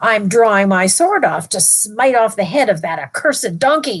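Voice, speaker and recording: At a moderate pace, a woman does a put-on character voice pitched fairly high. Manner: menacing, terrible.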